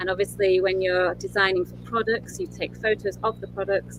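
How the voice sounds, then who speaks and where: In a Yorkshire accent, a woman speaks at a moderate pace. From northern England, Yorkshire. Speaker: interior designer. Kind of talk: interview with presentation.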